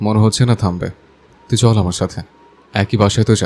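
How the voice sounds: A natural reading voice is heard here.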